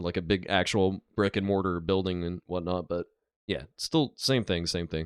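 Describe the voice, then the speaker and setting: With a very deep, low pitch, a man speaks in an animated tone at a moderate pace. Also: dry, close sound with no echo, quiet background. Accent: Southern US. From south Georgia, US South. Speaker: truck driver and reaction video commentator. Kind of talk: reaction commentary. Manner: casual, animated.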